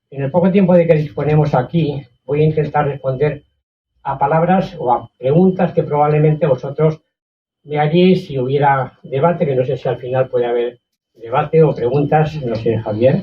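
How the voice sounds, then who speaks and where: A somewhat breathy man with fairly high pitch, ordinary pitch variation and a moderate pace. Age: 80s+. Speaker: author. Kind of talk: book presentation talk.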